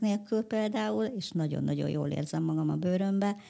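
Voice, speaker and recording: A woman's fairly low voice, dark and mellow in tone, at a moderate pace. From Hungary. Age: 30s. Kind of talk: interview.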